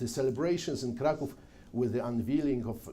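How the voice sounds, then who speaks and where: A man with a Polish accent speaks at a moderate pace in a dark, mellow tone with vocal fry and lively intonation, amid audible room echo. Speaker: journalist and mountain guide giving a history talk. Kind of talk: lecture. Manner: reading from prepared text.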